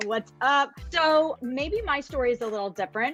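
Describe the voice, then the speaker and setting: A woman with a New Jersey accent speaks at a moderate pace with lively intonation, music playing in the background. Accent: New Jersey American. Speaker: network marketing coach, former nurse. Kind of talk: panel introduction.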